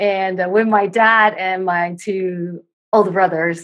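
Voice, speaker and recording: A woman with a Dutch accent speaks in a fairly low pitch with monotone, flat intonation. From Netherlands. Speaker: circus performer, dancer and yoga instructor. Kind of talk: casual interview chat.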